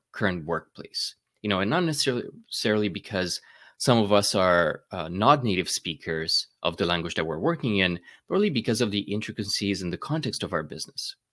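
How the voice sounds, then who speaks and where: A man with a slight Romanian accent, fairly low pitch, lively intonation and a very fast pace, on a very clean recording with a silent background. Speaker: data management speaker, YouTuber. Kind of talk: conference keynote. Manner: hesitant fillers and repetitions.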